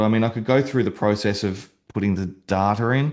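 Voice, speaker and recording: A man with an Australian accent at medium pitch, fairly quick, with ordinary pitch variation against a quiet background. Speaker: real estate agent and website builder. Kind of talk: software demo tutorial. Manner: fast; hesitant, many fillers.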